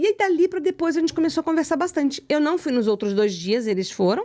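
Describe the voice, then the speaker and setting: A woman speaks in a Rio de Janeiro accent at a high pitch. Her pitch swings very widely. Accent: carioca accent, kept. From Rio de Janeiro, Brazil. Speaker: psychoanalyst, writer and speaker. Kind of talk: casual interview chat. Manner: animated.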